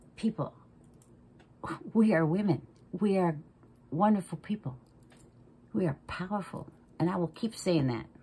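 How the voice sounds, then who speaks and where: At a moderate pace with long, frequent pauses, a woman speaks at a fairly low pitch with a dark, mellow, somewhat breathy tone and lively intonation. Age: 60s. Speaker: makeup vlogger. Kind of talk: makeup tutorial. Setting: at home makeup table. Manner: casual, chatty.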